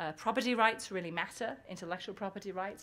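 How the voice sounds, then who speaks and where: A woman's voice at medium pitch with ordinary pitch variation. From UK, England. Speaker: business school professor. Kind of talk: conference talk.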